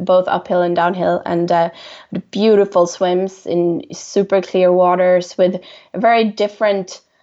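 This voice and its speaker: Speaking very slowly with a Swedish accent, a woman keeps her intonation monotone and flat. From Sweden, Stockholm. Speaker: swimrun athlete. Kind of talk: interview.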